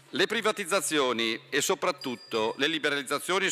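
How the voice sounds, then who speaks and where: A man's fairly high voice with ordinary pitch variation, music playing behind it. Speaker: member of parliament. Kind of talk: parliamentary oratory, prepared question. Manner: formal, polished, steady. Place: hall. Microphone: podium.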